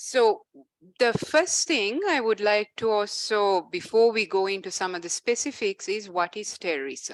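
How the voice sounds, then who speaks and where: An unremarkable speaking voice with lively intonation at a moderate pace, dry and close with no echo. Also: woman, fairly high pitch for a woman. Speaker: legal expert presenting on a law. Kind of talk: panel presentation with slides.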